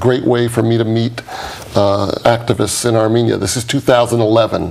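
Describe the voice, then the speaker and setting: A man with a New York accent talks fairly quickly at a medium pitch, his intonation monotone and flat. Noticeable background noise runs underneath. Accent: New York American English. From New York, US. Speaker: documentary producer and activist. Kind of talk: interview.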